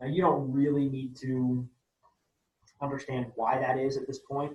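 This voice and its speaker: Somewhat breathy, a man speaks at a medium pitch and a moderate pace in a flat monotone. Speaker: chemistry teacher. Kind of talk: lecture.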